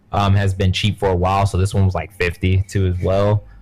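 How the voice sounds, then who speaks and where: With music in the background, the speaker talks at a moderate pace. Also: man. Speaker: gaming podcast co-host. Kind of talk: casual chat. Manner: loud.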